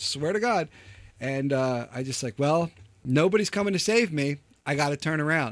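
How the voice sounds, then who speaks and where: Loud and animated, a man talks at a moderate pace with a fairly high pitch and very wide pitch swings, on a very clean recording with a silent background. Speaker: podcast host. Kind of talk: casual chat.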